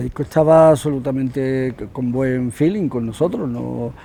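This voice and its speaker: There is noticeable background noise behind a man speaking at a fairly slow pace. His pitch is medium with ordinary variation. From Andalusia, Spain (Huelva). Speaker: musician, guitarist in a rock band. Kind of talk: interview, casual chat. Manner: halting, many repetitions.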